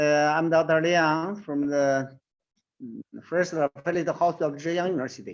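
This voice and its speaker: A man with a Chinese accent speaks at a fairly slow pace in a fairly high pitch, with ordinary pitch variation over a quiet background. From China. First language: Mandarin Chinese. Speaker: surgeon and professor. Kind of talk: presentation. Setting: online webinar. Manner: halting, non-fluent English.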